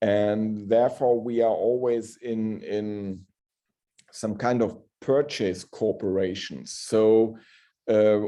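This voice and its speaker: A man speaks very slowly in a German accent, his tone dark and mellow. His intonation stays fairly even against a quiet background. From northern Germany. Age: middle-aged. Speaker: hospital pharmacist. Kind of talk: Q&A after a lecture.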